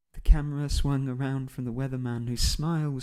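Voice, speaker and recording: A man with a British accent speaks at a fairly quick pace. His dark, mellow voice stays in a flat monotone. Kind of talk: audiobook narration. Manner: soft-spoken.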